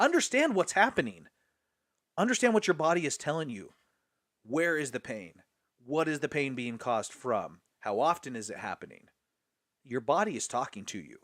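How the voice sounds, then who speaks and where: Pitched fairly high, a man speaks at a moderate pace with very wide pitch swings, big swings in loudness and long, frequent pauses, on a very clean recording with a silent background. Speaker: nutrition seminar presenter. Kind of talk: seminar presentation. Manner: enthusiastic.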